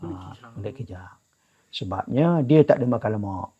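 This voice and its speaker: The tone is dark and mellow, and the pitch swings very widely. The sound is dry and close, with no echo. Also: man. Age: 70s. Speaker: traditional drum maker. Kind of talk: interview.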